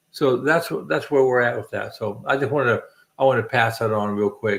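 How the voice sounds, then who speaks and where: This man talks at a fairly quick pace with a medium pitch and ordinary pitch variation. It is an ordinary speaking voice on a very clean recording with a silent background. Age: 60s. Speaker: channel host, military veteran. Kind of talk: casual chat. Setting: livestream.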